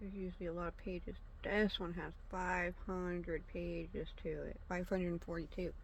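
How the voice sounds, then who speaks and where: A woman with a fairly low pitch speaks in a monotone, flat intonation, with audible room echo. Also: moderate pace. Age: 30s. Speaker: channel host reviewing FBI files. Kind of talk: casual document read-through. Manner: halting, many fillers. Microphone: no proper mic, may be quiet.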